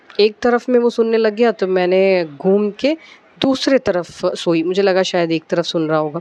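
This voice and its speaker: A woman with a Malayalam accent, medium pitch, ordinary pitch variation and very even loudness, in a dry, close sound with no echo over noticeable background noise. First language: Malayalam (speaking Hindi). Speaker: devotional vlogger. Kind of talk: casual devotional talk, personal anecdote. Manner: hesitant, many fillers.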